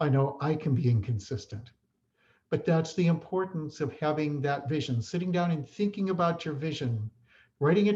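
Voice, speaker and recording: A man with a fairly high pitch speaks at a moderate pace. His voice is somewhat breathy, and his intonation is lively. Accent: American. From Chicago area, US Midwest. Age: 60s. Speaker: respiratory therapist and educator. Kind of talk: conference talk. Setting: online presentation.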